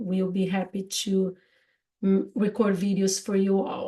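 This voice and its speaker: A woman's fairly slow delivery in a strong Brazilian accent, with monotone, flat intonation and a dark, mellow tone. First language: Portuguese. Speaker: podcast host, English teacher. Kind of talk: casual chat. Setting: live stream. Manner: halting.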